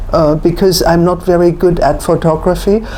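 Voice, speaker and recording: Noticeable background noise sits under the clip, and the room echo is audible. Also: woman. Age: 70s. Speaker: antique rug and textile dealer. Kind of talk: interview.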